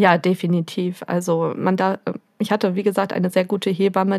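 This woman's medium-pitched voice moves at a moderate pace with monotone, flat intonation. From Germany, Möhnesee area (Westphalia). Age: 30s. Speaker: young mother, visitor of a parent café. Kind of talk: casual interview.

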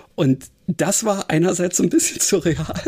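This is a man's voice. His pitch is high. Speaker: podcast co-host. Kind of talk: casual chat. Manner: hesitant, many fillers.

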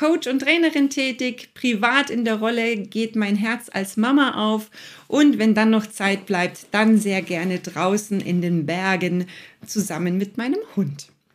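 Her intonation is lively and her pitch fairly high. The woman speaks at a fairly slow pace. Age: 40s. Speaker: coach and podcast host. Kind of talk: casual interview.

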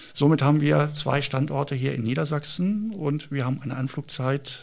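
A man's ordinary speaking voice at a medium pitch, with ordinary pitch variation and a moderate pace. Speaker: police helicopter pilot. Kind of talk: interview. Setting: on location at police helicopter base.

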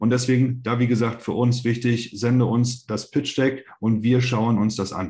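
At a medium pitch, a man speaks in a dark, mellow, somewhat breathy tone with monotone, flat intonation and a moderate pace. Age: 30s. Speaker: startup investor, investment company managing director. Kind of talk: podcast interview. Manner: hesitant, many fillers.

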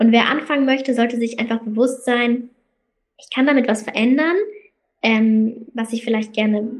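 This woman has a fairly high pitch and fairly even intonation. She speaks at a moderate pace. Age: 20s. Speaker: student and magazine founder. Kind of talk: interview conversation.

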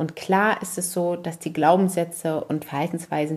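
A woman with a fairly low pitch speaks at a fairly quick pace in a normal speaking voice. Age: 40s. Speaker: parenting podcaster. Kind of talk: personal monologue.

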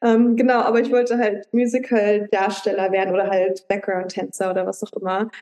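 A normal speaking voice from a woman, medium in pitch, at a fairly quick pace with hardly any pauses and fairly even intonation. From Luxembourg. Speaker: life coach. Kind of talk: casual interview. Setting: video call.

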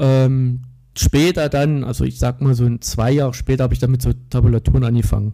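At a fairly quick pace, a man talks with a dark, mellow tone, somewhat breathy, at medium pitch and with fairly even intonation. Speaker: metal guitarist. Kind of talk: casual interview.

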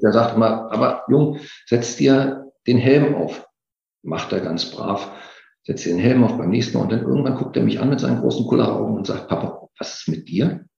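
A man's dark, mellow voice with vocal fry, medium pitch and a moderate pace, in a room with audible echo. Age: 50s. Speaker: occupational safety expert. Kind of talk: interview.

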